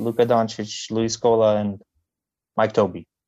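A man's medium-pitched voice with a Lithuanian accent. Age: young. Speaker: basketball commentator. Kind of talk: casual chat. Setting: video call. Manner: slow.

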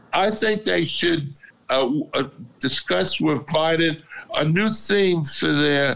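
With an American accent, a man talks at a fairly high pitch and a very slow pace, with long, frequent pauses, ordinary pitch variation and very even loudness. Noticeable background noise is present. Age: 80s. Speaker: father of host. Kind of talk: casual family chat. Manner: loud, talkative.

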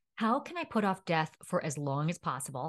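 Using an ordinary speaking voice with an American accent, a woman talks at a moderate pace with lively intonation and a fairly low pitch against a quiet background. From New York City. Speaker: dietitian focused on sustainability. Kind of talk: interview conversation.

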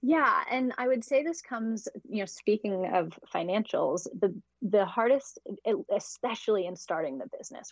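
Speaking at a moderate pace, a woman with an unremarkable speaking voice uses lively intonation. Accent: American. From US, Idaho. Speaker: money mindset coach and entrepreneur. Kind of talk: interview.

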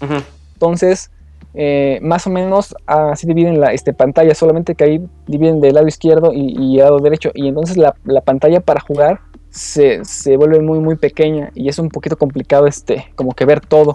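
Moving at a moderate pace, this voice carries a dark, mellow tone and fairly even intonation. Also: man, fairly high pitch for a man. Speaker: game reviewer. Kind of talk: game review. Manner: halting, many fillers. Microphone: too far from the mic.

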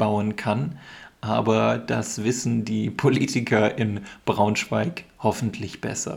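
A man speaks very slowly in a fairly low voice with fairly even intonation. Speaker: podcast host teaching German. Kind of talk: educational podcast monologue for learners. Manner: slow, clear explanatory delivery.

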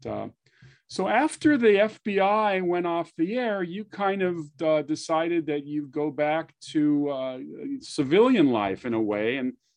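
A man speaks in a normal speaking voice at a fairly high pitch. The background is quiet. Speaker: podcast host. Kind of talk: interview chat.

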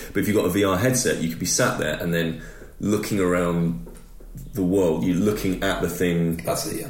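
A man with a British accent talks very fast in a very deep, low voice with ordinary pitch variation, over noticeable background noise. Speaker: podcast co-host. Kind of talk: casual chat.

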